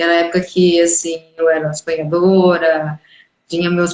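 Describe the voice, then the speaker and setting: A normal speaking voice comes through at a fairly slow pace. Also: woman. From Brazil. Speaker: live stream host. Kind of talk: casual live interview chat.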